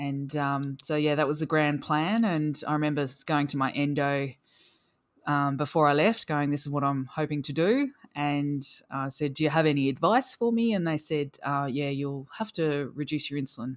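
Ordinary pitch variation with an Australian accent. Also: woman, very deep, low pitch for a woman, moderate pace. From rural Australia (Victoria). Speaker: endurance cyclist with type 1 diabetes. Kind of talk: casual interview.

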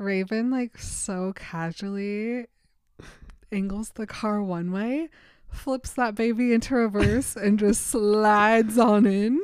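A woman's fairly high voice moves along at a very slow pace. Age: 30s. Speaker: podcast co-host. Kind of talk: casual chat. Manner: animated.

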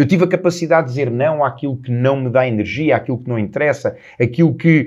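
A man races along at a very fast pace, and his pitch varies in an ordinary way. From Portugal, Lisbon. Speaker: self-improvement coach, podcast host. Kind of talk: solo motivational talk.

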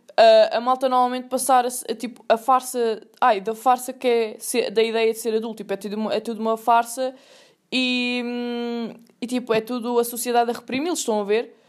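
Recorded very cleanly with a silent background, a woman speaks in a Lisbon accent at a fairly high pitch. Her pace is moderate and her intonation fairly even. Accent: European Portuguese, Lisbon area. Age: 20s. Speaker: podcast host, university student. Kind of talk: casual monologue. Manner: casual, slangy and rambling.

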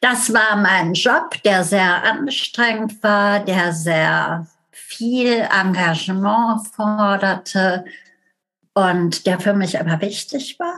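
A woman speaking at a very slow pace, with ordinary pitch variation. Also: medium pitch for a woman. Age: 60s. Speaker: family therapist. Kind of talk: casual interview.

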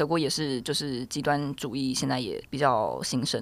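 The recording is very clean, and the background is silent. Speech moves along fairly quickly. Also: woman. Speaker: law graduate studying for bar exam. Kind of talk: casual chat.

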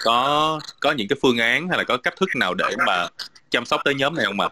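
A man is speaking. His pace is fairly quick. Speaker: webinar moderator. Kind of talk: online panel discussion. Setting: video call. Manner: hesitant, many fillers.

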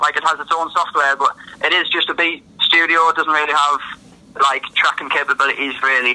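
Noticeable background noise accompanies a man talking at a fairly quick pace. His fairly high voice stays monotone and flat. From northern England. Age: 20s. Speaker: rapper and producer. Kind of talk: casual interview chat. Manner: casual, conversational.

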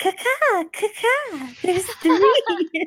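This put-on character voice sits at an extremely high pitch. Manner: bird-call, singsong.

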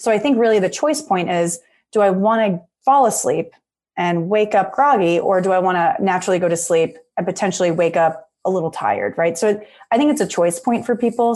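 A woman talks at a very fast pace in a medium pitch with an enthusiastic tone. The background is quiet. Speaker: clinical psychologist. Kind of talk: casual interview.

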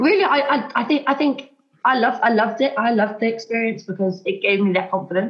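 Somewhat breathy and with lively intonation, a woman speaks at a very fast pace. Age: 20s. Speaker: teacher. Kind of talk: casual chat.

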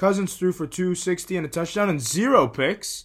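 A man's somewhat breathy voice. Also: very clean recording, silent background. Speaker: podcast host. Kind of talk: casual sports podcast chat.

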